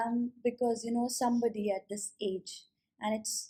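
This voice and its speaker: The pace is fairly slow. It is an ordinary speaking voice. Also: woman. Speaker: keynote speaker and corporate trainer. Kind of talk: interviewer questions.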